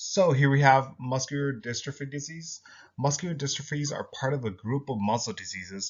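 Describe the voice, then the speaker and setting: A somewhat breathy man at a fairly quick pace, with ordinary pitch variation. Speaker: student. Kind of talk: class presentation. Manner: halting.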